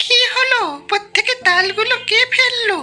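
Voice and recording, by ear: Speaking at a fairly slow pace, a woman puts on a cartoonish character voice with an extremely high pitch.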